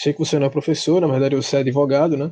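A man speaks in a fairly high voice with a dark, mellow tone. The background is quiet. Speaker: podcast host. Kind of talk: history explanation and interview.

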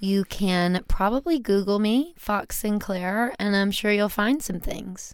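A woman with an American accent has an unremarkable speaking voice with ordinary pitch variation. She talks at a fairly slow pace with hardly any pauses. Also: medium pitch for a woman. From US South, Louisiana (Baton Rouge). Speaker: stripper and musician. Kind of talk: casual chat.

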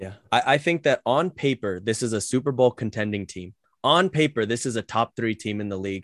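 A man with an unremarkable speaking voice talks at a fairly quick pace and medium pitch with lively intonation. The background is quiet, and the sound is dry and close with no echo. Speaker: podcast host. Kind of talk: casual chat. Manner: joking.

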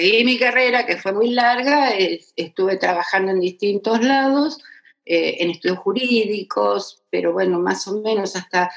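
This woman has an ordinary speaking voice, medium in pitch, delivered at a fairly slow pace with very even loudness. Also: ordinary pitch variation. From Argentina, Buenos Aires area. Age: 60s. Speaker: retired federal judge. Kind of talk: interview testimony.

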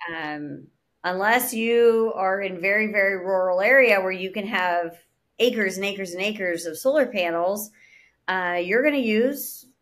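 Moderate pace and ordinary pitch variation in an ordinary speaking voice. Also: woman. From Pittsburgh, Pennsylvania. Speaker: urban farming company founder. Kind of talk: interview.

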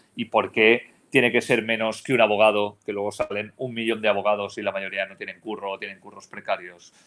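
Monotone and flat, a man speaks at a fairly quick pace in a fairly low pitch, with big swings in loudness. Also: hardly any pauses. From Spain, Valencia region (Almussafes). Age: 40s. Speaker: sports journalist, remote work entrepreneur. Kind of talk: podcast panel discussion.

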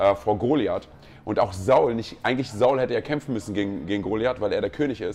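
Music plays in the background as a man talks at a very fast pace with ordinary pitch variation. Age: 40s. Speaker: pastor. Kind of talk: casual chat. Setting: on location at a pastors' conference.

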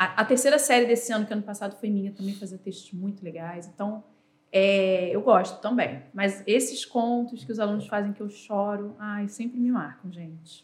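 A woman with a medium pitch speaks at a moderate pace in an unremarkable speaking voice, with ordinary pitch variation and big swings in loudness. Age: 40s. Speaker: teacher. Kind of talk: casual chat.

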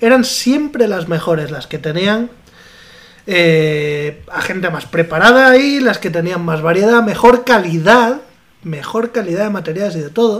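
Against noticeable background noise, a man speaks fairly slowly with lively intonation. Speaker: podcast co-host. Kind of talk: casual chat.

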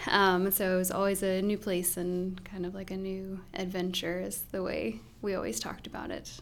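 A woman's plain, everyday voice in an American accent, medium in pitch with ordinary pitch variation, at a moderate pace with hardly any pauses. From US Midwest. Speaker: pastor's wife and church co-founder. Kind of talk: casual interview.

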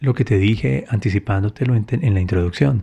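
A man's somewhat breathy voice, fairly low in pitch and dark and mellow in tone, with ordinary pitch variation and a moderate pace. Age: 40s. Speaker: podcast host and motivational speaker. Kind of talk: motivational monologue.

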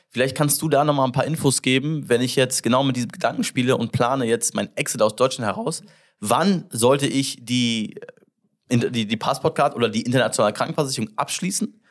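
A man with an English accent, speaking at a medium pitch with ordinary pitch variation. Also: fairly quick pace. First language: English (speaking German). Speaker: podcast host, entrepreneur. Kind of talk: casual interview chat. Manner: halting, many fillers.

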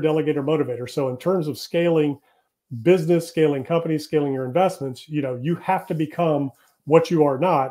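The speaker has an ordinary speaking voice with fairly even intonation. The pace is fairly quick. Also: man. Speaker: real estate developer and business coach. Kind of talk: interview.

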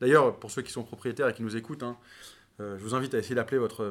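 A man's plain, everyday voice at medium pitch, fairly even in intonation, on a very clean recording with a silent background. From France, teen years in New York. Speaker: venture capital investor. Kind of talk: interview.

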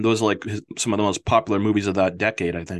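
A man talks with an American accent. The background is quiet. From Massachusetts. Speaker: film podcast host. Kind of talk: casual chat. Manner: halting, many fillers.

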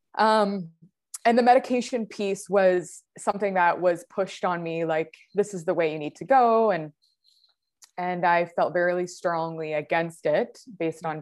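A woman's unremarkable speaking voice at a medium pitch, with a Canadian accent and ordinary pitch variation, over a quiet background. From Ontario, Canada, near Niagara Falls. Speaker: endometriosis patient sharing her story. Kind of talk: casual interview, personal story.

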